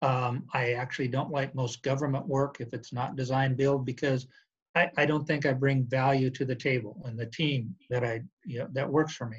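A man with an American accent speaks at a medium pitch in a somewhat breathy voice with fairly even intonation. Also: moderate pace. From Montana, US. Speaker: construction executive. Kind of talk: interview. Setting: video call.

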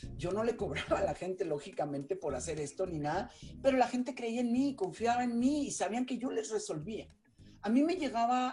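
Very wide pitch swings at a moderate pace. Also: woman. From Mexico. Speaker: journalist and entrepreneur. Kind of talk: interview.

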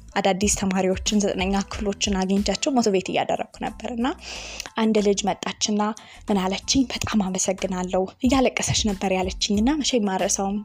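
A woman speaks at a medium pitch with ordinary pitch variation. There is noticeable background noise. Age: young. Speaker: youth podcast host and motivational speaker. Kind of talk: casual podcast monologue.

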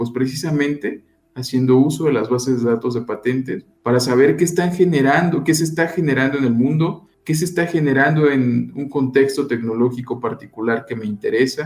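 Using an ordinary speaking voice, a man talks at a fairly high pitch and moderate pace with ordinary pitch variation and hardly any pauses. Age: 30s. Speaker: intellectual property consultant. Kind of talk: radio interview. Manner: formal.

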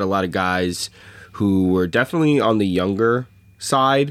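A man speaks at a fairly quick pace in an ordinary speaking voice. His pitch is fairly low, with ordinary pitch variation. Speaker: podcast host. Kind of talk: casual sports banter.

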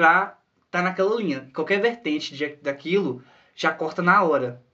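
Lively intonation and a bright, sharp tone come at a moderate pace over a quiet background. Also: man. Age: 20s. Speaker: podcast co-host. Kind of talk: casual chat.

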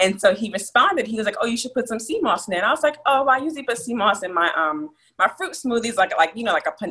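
Speaking very fast in an American accent, a woman with a fairly high pitch and a bright, sharp tone makes very wide pitch swings. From Texas and New Jersey. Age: 20s. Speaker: sea moss business owner. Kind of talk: casual interview.

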